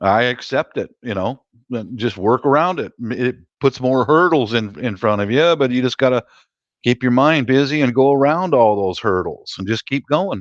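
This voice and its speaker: Here is a plain, everyday voice at a moderate pace. The sound is dry and close with no echo, and the background is quiet. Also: man. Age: 60s. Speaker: live-stream chat host. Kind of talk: casual chat.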